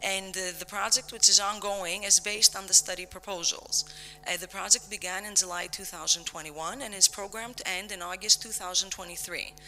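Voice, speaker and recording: Someone speaks at a fairly quick pace with hardly any pauses against noticeable background noise. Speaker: conference presenter, researcher. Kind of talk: conference presentation. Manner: fast.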